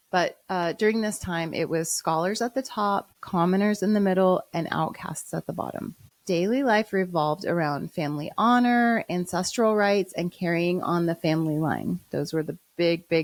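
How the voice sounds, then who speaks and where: In a normal speaking voice with an American accent, a woman talks at a moderate pace with hardly any pauses, a fairly low pitch and ordinary pitch variation on a very clean recording with a silent background. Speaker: podcast host. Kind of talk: storytelling podcast narration.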